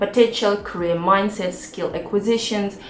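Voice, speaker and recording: Noticeable background noise and audible room echo surround a woman with a non-native accent. She talks at a moderate pace at medium pitch, with ordinary pitch variation. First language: not English. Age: 40s. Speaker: YouTuber and cloud engineer. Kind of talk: personal vlog talk.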